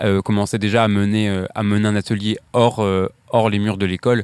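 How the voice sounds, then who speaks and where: A man talks at a fairly slow pace in a fairly low pitch, his intonation flat and monotone. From Brittany, Morbihan. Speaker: architecture graduate. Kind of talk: panel discussion. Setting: outdoors.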